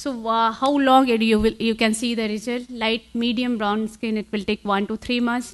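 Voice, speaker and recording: In an Indian accent, a woman speaks at a moderate pace with a fairly high pitch and monotone, flat intonation against a quiet background. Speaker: conference speaker on cosmetology; conference speaker. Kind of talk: conference talk. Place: hall.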